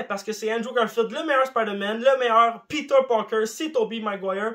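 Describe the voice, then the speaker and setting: A man projects a raised voice that is high-pitched, bright and sharp in tone, with lively intonation. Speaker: YouTuber. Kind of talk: casual vlog monologue. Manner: animated.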